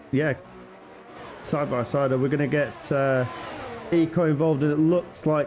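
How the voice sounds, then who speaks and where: Against noticeable background noise, a man with a fairly high pitch speaks at a moderate pace with very even loudness and long, frequent pauses. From northern England. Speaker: sim racing commentator. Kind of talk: live commentary. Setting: live stream.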